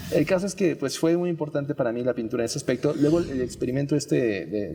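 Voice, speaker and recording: A man's dark, mellow voice at a fairly quick pace, with lively intonation and hardly any pauses. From Mexico, Yucatán (Mérida). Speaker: painter. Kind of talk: interview. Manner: hesitant, many fillers.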